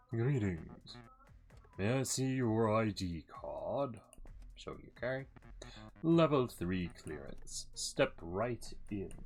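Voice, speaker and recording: A put-on character voice at a low-to-middle pitch, very slow, with long, frequent pauses and music in the background. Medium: game stream. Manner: brisk, commanding.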